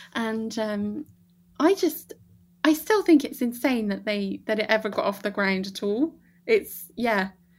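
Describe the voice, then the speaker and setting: A woman's fairly high, somewhat breathy voice in a West Country accent, with lively intonation at a fairly slow pace, very cleanly recorded against a silent background. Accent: regional English, West Country. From Bath, England. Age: 30s. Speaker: podcast guest. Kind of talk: casual movie chat.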